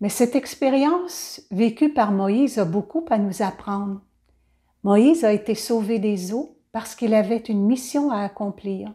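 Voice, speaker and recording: A woman's fairly high, somewhat breathy voice, warm and gentle yet dark and mellow in tone, with lively intonation at a fairly slow pace on a very clean recording with a silent background. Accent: Quebec. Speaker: children's Bible storyteller. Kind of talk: storytelling and reflection for children. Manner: warm, gentle address to children.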